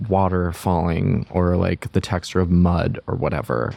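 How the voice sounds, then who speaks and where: A man speaks at a fairly slow pace with a very deep, low pitch and vocal fry. His tone is dark and mellow, and the sound is dry and close with no echo. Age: 20s. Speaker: production designer and director. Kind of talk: casual interview. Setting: in-person studio.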